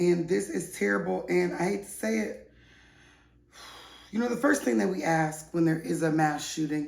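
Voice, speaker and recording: In a room with audible echo, a woman with a very deep, low voice and vocal fry speaks in an animated tone, her pitch swinging very widely between long, frequent pauses. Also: moderate pace. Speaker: online news show host. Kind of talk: casual gossip news commentary.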